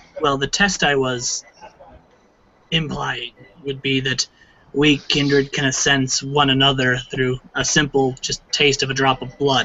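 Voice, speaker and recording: At a fairly slow pace, a man of medium pitch performs a put-on character voice. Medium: actual play. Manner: formal, probing.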